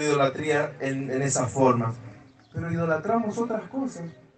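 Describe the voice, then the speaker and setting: Lively intonation marks this man's fairly slow speech, heard with audible room echo and noticeable background noise. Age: 30s. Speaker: visiting preacher. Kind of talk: sermon.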